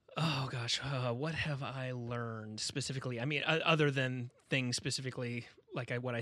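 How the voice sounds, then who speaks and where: A man speaks in a normal speaking voice at a medium pitch. He talks at a fairly slow pace with fairly even intonation. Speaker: guitarist friend and guest. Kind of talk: casual chat. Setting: remote recording.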